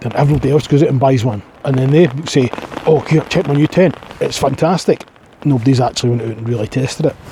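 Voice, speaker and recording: Against noticeable background noise, a man talks at a very fast pace with a fairly high pitch and ordinary pitch variation. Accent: strong Scottish. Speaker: outdoors vlogger. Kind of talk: casual vlog monologue. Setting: outdoors in a forest at night. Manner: rambling casual.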